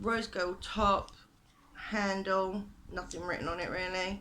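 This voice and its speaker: A woman speaks very slowly with a British accent and fairly even intonation. Her tone is bright and sharp, with audible room echo. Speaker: beauty vlogger. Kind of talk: makeup tutorial / product review. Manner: hesitant, many fillers.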